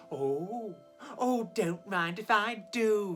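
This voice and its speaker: Clear music plays behind a man using a put-on character voice at a high pitch. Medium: read story. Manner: bubbly, warm.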